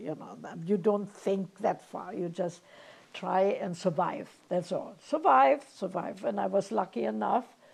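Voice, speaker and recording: Vocal fry colors a woman's voice, which sits at a fairly low pitch. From Germany. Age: 90s. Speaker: Holocaust refugee interviewee. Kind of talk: oral history interview. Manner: halting.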